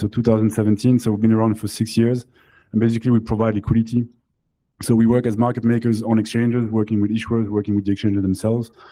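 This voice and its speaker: Fairly low male voice with a French accent, flat monotone delivery and a very fast pace. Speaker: crypto company founder and CEO. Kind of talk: panel discussion. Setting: live event with audience.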